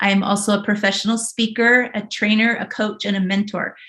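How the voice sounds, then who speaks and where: Talking with a Western US accent, a woman uses a bright, sharp tone at a fairly high pitch and a moderate pace, with ordinary pitch variation. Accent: American West. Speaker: body language expert. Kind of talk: casual chat.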